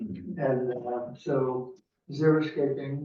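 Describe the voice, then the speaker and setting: Fairly high-pitched, somewhat breathy male voice with ordinary pitch variation and audible room echo. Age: 80s+. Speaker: resident giving public comment. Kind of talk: public comment at council meeting. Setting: city council meeting in city hall. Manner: halting.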